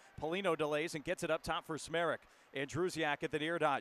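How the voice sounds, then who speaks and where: The sound is dry and close with no echo, though noticeable background noise comes through. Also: man. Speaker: hockey play-by-play announcer. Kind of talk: live hockey play-by-play commentary in a highlight reel.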